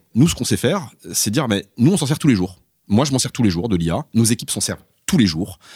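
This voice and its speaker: At a very fast pace, a man with a medium pitch and very wide pitch swings talks in a somewhat breathy voice, the recording very clean with a silent background and a dry, close sound with no echo. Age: 40s. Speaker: company CEO. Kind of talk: interview. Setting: in person at guest's office.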